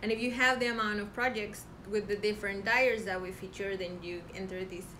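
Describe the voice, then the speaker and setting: A woman's medium-pitched voice with a Spanish accent at a moderate pace, with audible room echo and noticeable background noise. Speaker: knitting podcast co-host, yarn dyer. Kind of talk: casual chat.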